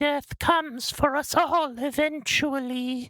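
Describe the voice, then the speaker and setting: Using a put-on character voice, a man pitches himself extremely high. He speaks at a fairly slow pace. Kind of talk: fatalistic, gloomy.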